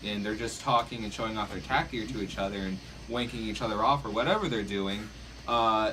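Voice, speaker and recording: Over noticeable background noise and audible room echo, a man speaks very fast at a fairly low pitch. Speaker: Nerf club player. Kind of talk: casual group discussion. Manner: loud; halting.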